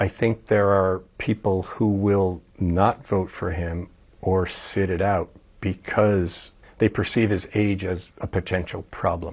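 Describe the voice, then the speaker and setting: A man speaks very slowly in a very deep, low voice. His intonation is monotone and flat. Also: very clean recording, silent background. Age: 70s. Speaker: geology teacher. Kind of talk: interview answer.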